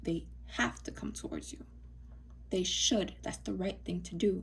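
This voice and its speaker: Whispering at a moderate pace, a woman is soft-spoken. There is noticeable background noise. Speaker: tarot reader. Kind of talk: tarot reading. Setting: recording to camera. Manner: quiet, mellow; soft-spoken, almost whispering.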